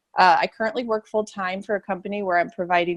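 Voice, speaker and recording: A woman speaks with ordinary pitch variation in a dry, close sound with no echo. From US Midwest (St. Louis, Missouri). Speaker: physical therapist and health coach. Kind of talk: interview.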